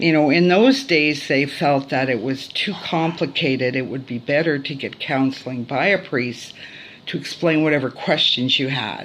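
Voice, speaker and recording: A woman with a very deep, low voice speaks at a fairly slow pace. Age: 60s. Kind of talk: testimony. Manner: hesitant, many fillers.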